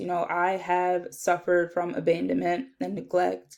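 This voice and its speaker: In a New Jersey accent, a woman talks at a fairly slow pace with a medium pitch. The background is quiet. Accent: New Jersey American English. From US Northeast, South Jersey. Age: 20s. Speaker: social work student. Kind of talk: self-introduction video.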